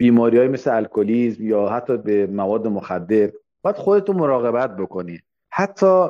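A man talks at a moderate pace with a medium pitch. His dark, mellow voice has very wide pitch swings. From Iran, Khuzestan. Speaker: immigrant pastry chef. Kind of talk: casual interview.

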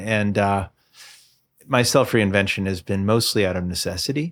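Speaking at a moderate pace, a man has a fairly low pitch and an unremarkable speaking voice. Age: 50s. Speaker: musician and music attorney. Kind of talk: casual interview. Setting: home studio.

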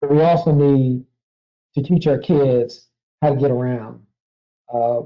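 Man with an American accent, medium pitch and ordinary pitch variation. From Washington, D.C. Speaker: university research vice president. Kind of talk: interview.

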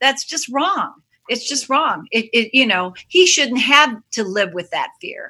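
A woman projects a raised voice with a bright, sharp tone at a high pitch, speaking at a fairly slow pace with very wide pitch swings. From Chicago, Hyde Park. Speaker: children's musician. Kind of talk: casual chat. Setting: video call.

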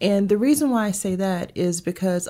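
This woman has a medium-pitched voice with a dark, mellow tone. Her pitch varies in an ordinary way, and her pace is moderate. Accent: Southern US. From US South, Augusta, Georgia. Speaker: HR consultant, business owner. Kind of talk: casual interview.

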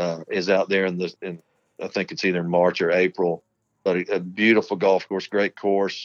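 A man's very deep, low voice in a flat monotone, dry and close with no echo, over a quiet background. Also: moderate pace. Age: 50s. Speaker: irrigation company co-owner. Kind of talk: casual chat. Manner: halting.

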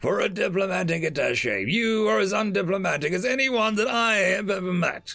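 A man uses a put-on character voice with a high pitch, a bright, sharp tone, vocal fry and lively intonation. He goes at a moderate pace while faint music plays in the background.

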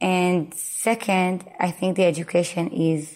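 A woman speaks at a very slow pace in an Israeli accent. Her pitch sits fairly low. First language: Hebrew. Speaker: Montessori school founder and educator. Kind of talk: interview. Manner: halting.

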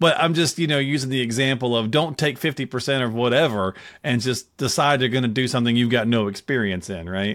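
Talking at a very fast pace with hardly any pauses, a man uses a medium pitch and ordinary pitch variation. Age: 50s. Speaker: podcast co-host. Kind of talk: casual chat. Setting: video call.

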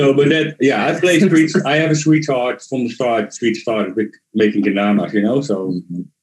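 A man with a Dutch accent talks at a moderate pace and medium pitch, with lively intonation and hardly any pauses. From Netherlands. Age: 40s. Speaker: kendama player. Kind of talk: casual interview chat. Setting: at home in the Netherlands.

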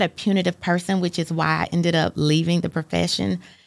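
At a fairly quick pace, a woman speaks with vocal fry. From US Midwest (Fort Wayne, Indiana), born in Chattanooga. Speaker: nonprofit executive and speaker. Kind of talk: interview conversation.

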